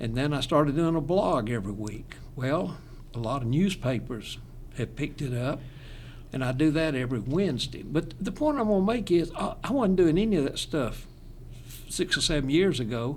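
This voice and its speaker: This man speaks at a fairly high pitch, and the room echo is clearly audible. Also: lively intonation, moderate pace. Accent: Southern. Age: 80s+. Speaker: retired pastor. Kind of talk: casual chat.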